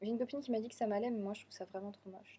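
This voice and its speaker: A woman talks very fast in a fairly high, somewhat breathy voice with a dark, mellow tone and fairly even intonation. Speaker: vlogger. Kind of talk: casual vlog.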